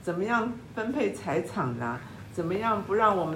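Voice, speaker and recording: A woman speaks with very wide pitch swings. Audible room echo and noticeable background noise are present. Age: 70s. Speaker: podcast host. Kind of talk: interview.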